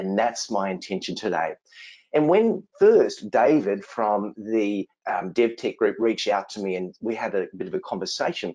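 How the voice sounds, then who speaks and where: At a moderate pace, a man talks with an Australian accent. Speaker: innovation consultant and speaker. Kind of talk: webinar presentation.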